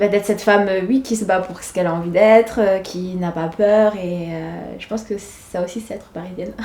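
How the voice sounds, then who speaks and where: Speaking at a fairly quick pace, a woman keeps a fairly even intonation while her loudness swings widely, over noticeable background noise. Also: medium pitch for a woman. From Senegal (Dakar). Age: 20s. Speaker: schoolteacher. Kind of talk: documentary interview. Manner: hesitant, many fillers.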